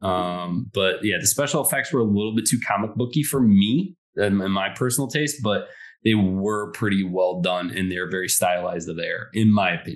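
In a normal speaking voice with an American accent, a man talks at a moderate pace, his fairly low pitch showing ordinary variation. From Detroit, Michigan. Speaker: podcast co-host. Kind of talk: casual chat.

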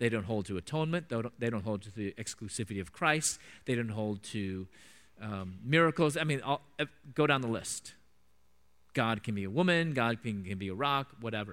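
With a Midwestern accent, a man talks at a fairly quick pace and a medium pitch. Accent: General American (Midwest). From US Midwest, Chicago suburbs. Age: 40s. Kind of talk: church talk / lecture with Q&A. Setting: church with live audience.

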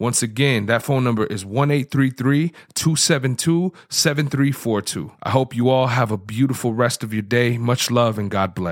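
With an animated tone and ordinary pitch variation, a man talks at a medium pitch and moderate pace in a very clean recording with a silent background. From Tucson, Arizona. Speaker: podcast host. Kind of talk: sponsor read; casual interview. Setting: studio.

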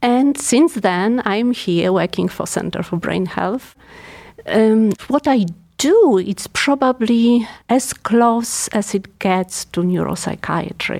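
Speaking very slowly with a Polish accent, a woman uses ordinary pitch variation. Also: fairly high pitch for a woman. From Poland. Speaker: geriatric neuropsychiatrist. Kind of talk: professional interview.

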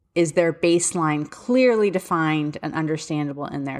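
A woman speaks with a Philadelphia accent. She keeps a moderate pace with ordinary pitch variation. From Philadelphia area, US. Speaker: special education advocate and podcast host. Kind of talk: solo podcast monologue, casual and informative. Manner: casual, conversational, candid.

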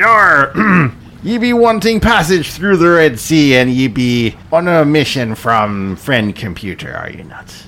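A man's growling put-on character voice, fairly high in pitch, with very wide pitch swings, a fairly slow pace and clear background noise. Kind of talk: comic overacting. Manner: menacing pirate growl, full of "yar" and "ye be".

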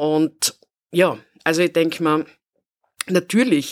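A woman's very deep, low voice at a fairly slow pace, with a dry, close sound and no echo. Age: 50s. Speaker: city equality officer. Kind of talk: interview.

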